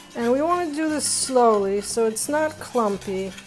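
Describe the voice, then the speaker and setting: Light background noise is present. Over it, a woman talks. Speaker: cooking show host. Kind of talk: tutorial. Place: kitchen.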